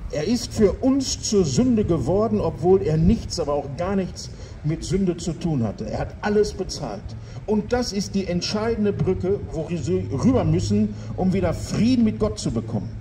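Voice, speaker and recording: A man with a high pitch speaks in a solemn tone at a moderate pace, with light background noise. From Gelsenkirchen, Ruhr area, Germany. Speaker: street preacher. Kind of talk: open-air street sermon to passers-by, with urgent calls to repent. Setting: outdoors in front of a town hall and church. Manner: emphatic, fervent, repeating for emphasis, persuasive; rhetorical, with dry jokes, then solemn and appealing at the close. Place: street. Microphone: handheld.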